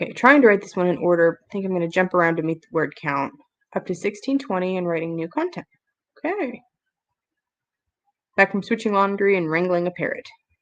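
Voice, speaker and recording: A woman talks at a fairly quick pace broken by long, frequent pauses. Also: medium pitch for a woman, ordinary pitch variation. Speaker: writing livestreamer. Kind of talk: casual livestream chat.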